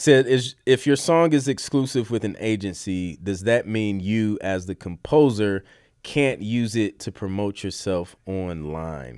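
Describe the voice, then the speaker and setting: Captured in a very clean recording with a silent background, a man uses a plain, everyday voice with a fairly low pitch, lively intonation and a fairly slow pace. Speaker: podcast host and music producer. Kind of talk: casual live-stream chat.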